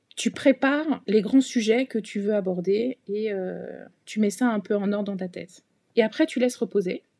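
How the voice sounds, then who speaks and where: Her pitch sits fairly high, with ordinary variation, as a woman speaks at a fairly slow pace. The sound is dry and close, with no echo. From Paris region, France. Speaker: bank executive. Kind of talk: casual interview. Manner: hesitant, many fillers.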